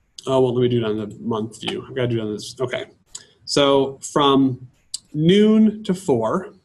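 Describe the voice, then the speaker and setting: A man with an American accent and a medium pitch sounds somewhat breathy, his pitch swinging very widely. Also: big swings in loudness. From Michigan. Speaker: teacher leading a workshop. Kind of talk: tutorial. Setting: workshop. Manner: fast.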